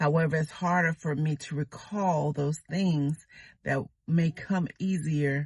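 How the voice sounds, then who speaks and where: A woman speaks very slowly in a very deep, low, somewhat breathy voice with fairly even intonation. The background is quiet, and the sound is dry and close with no echo. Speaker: YouTuber. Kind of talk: casual vlog talk. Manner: slow, sometimes fumbling for words.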